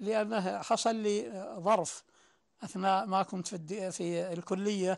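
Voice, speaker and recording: A man's high-pitched voice at a very slow pace, with fairly even intonation against a quiet background. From Saudi Arabia, Najd (Sudair); Najd, Saudi Arabia. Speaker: poet and writer; poet. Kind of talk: interview testimony. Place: home room. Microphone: lapel.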